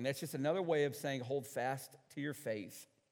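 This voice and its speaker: A man is speaking. He has an American accent. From US Northeast, central New York. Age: 50s. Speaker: pastor. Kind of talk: sermon.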